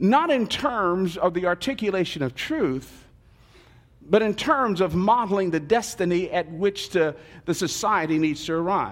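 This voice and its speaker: A man with an American accent and a high pitch talks at a moderate pace with lively intonation. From Newark, New Jersey, US Northeast. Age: 60s. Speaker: pastor. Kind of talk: sermon. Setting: church.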